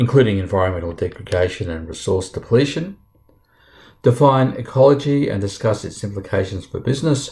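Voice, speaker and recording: In a very clean recording with a silent background, a somewhat breathy voice moves at a fairly quick pace with lively intonation. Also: man, medium pitch for a man. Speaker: university lecturer. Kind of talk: lecture.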